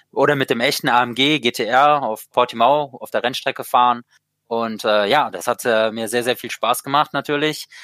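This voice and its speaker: A man on a very clean recording with a silent background and a dry, close sound with no echo. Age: 20s. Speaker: sim racing driver. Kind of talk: interview. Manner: halting, many fillers.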